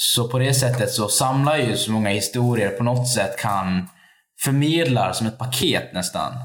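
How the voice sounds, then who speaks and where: A man with a Dalarna accent and ordinary pitch variation. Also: medium pitch for a man, moderate pace, very even loudness. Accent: Dalarna Swedish. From Sweden, Borlänge (Dalarna). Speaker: activist. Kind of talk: casual interview. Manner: halting.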